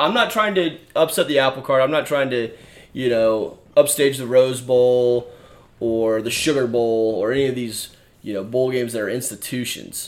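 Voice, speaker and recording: A man talks at a moderate pace in a medium pitch. He has a plain, everyday voice. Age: 20s. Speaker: sports podcast host. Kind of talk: casual sports chat. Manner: frequent fillers (uh).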